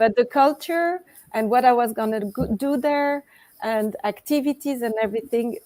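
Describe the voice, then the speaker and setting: A woman with a French accent speaks at a moderate pace in a fairly high voice, her tone dark and mellow and her pitch varying in an ordinary way. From Switzerland (French-speaking). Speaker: author and coach. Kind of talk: interview.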